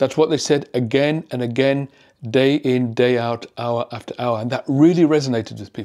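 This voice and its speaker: Recorded very cleanly over a silent background, a man with a British accent speaks in a dark, mellow tone at a medium pitch, at a moderate pace and with fairly even intonation. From UK. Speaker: psychiatrist. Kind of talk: educational commentary video.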